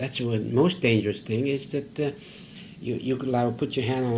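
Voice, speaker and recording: A man talks at a fairly quick rate. His is an unremarkable speaking voice, pitched at a medium level. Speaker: cinematographer. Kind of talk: interview answer.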